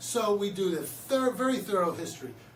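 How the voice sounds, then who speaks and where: Audible room echo surrounds a man with a high voice and lively intonation. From Philadelphia, US. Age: 60s. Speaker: chiropractor. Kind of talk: promotional talk to camera. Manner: casual, conversational.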